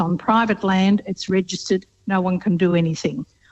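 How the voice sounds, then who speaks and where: A woman speaks at a moderate pace, her pitch medium and its variation ordinary. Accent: Australian. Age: 70s. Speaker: radio caller. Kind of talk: call-in question.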